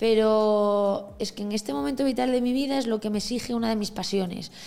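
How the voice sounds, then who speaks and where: A woman's fairly high voice is heard with noticeable background noise behind it. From Galicia, A Coruña. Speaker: entrepreneur. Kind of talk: casual interview.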